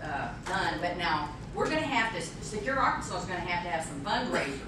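A woman speaks at a fairly low pitch. Her voice carries audible room echo over noticeable background noise. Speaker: speaker. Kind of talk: talk with audience Q&A. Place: hall. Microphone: camera far.

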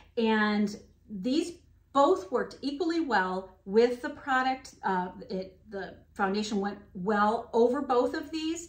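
Very slowly and with lively intonation, a woman speaks at a fairly high pitch. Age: 50s. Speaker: beauty vlogger. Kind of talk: product review. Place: home room.

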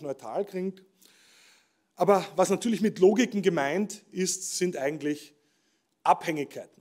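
Over a quiet background, a man talks in a high voice. His pitch variation is ordinary. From Austria. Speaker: professor giving keynote speech. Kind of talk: ceremonial keynote speech. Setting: stage with audience at award ceremony. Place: stage. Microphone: podium.

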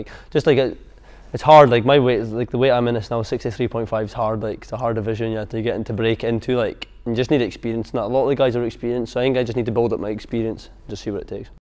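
A man at a very fast pace, fairly even intonation, and a quiet background. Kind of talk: interview answer. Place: gym.

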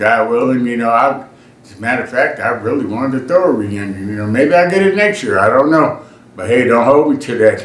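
Audible room echo follows a man as he speaks. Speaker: family reunion vlogger. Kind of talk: casual vlog chat. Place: home room.

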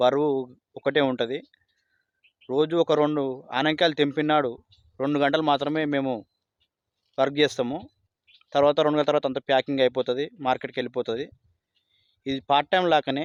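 The man's pitch is fairly high. His delivery stays monotone and flat. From Telangana, Rangareddy district. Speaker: part-time farmer. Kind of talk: casual testimony.

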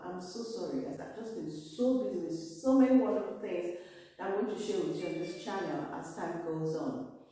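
A woman speaks at a moderate pace. Strong room echo surrounds her voice. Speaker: vlogger. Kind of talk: casual vlog chat. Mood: warm, apologetic, upbeat. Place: home room. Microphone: camera far.

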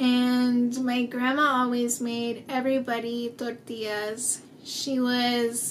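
A woman talks in an American accent. Her pitch is high, with light background noise. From US Southwest, small-town New Mexico. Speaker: children's book author. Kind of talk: personal appeal to supporters. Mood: warm, smiling, heartfelt. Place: home room.

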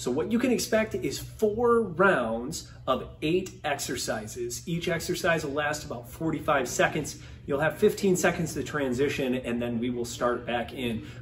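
A man speaks at a fairly slow pace with lively intonation over light background noise. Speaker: massage instructor. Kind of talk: workout program introduction. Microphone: camera far.

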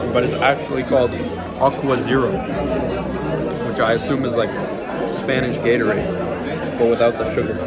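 A man at a moderate pace with ordinary pitch variation, crowd noise in the background. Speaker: vlogger. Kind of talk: casual vlog chat. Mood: amused, joking. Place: cafe. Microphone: phone near.

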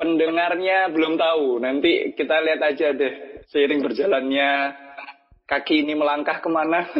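With faint music in the background, a man in a strong Javanese accent speaks at a moderate pace, his fairly high pitch carried by fairly even intonation and very even loudness. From Java, Indonesia. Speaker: podcast host. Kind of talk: casual chat. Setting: remote call recording. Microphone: phone line.

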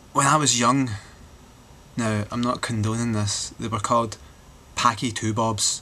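A man with a Glaswegian accent, bright, sharp tone, monotone, flat intonation, fairly slow pace and long, frequent pauses. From Glasgow, Scotland. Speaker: vlogger. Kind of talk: casual talk to camera. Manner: rambling, sardonic. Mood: wry, joking. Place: home room. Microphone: webcam.

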